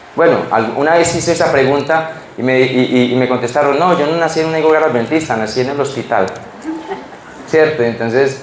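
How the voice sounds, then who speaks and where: A man at medium pitch, ordinary pitch variation and a fairly quick pace, with audible room echo and noticeable background noise. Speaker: preacher. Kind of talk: sermon. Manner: halting, repeats words.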